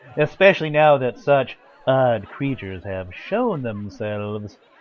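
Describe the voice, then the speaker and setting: A man puts on a character voice, pitched in the medium range and paced moderately. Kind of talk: radio drama performance. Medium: audio drama. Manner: jolly, laughing.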